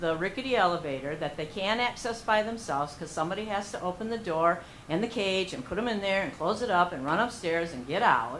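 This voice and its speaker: Speaking at a fairly quick pace, a woman with a medium pitch makes very wide pitch swings amid audible room echo. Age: 60s. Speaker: member of the public at a meeting. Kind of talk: public comment. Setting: township board meeting.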